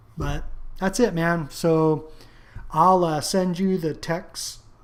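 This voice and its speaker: Audible room echo surrounds a man as he speaks. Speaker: online marketer. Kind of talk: tutorial. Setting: screen recording. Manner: casual.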